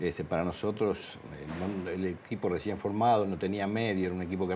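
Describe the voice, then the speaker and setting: A man with a fairly low pitch and fairly even intonation has an unremarkable speaking voice. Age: 60s. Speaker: former footballer and coach. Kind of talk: interview testimony.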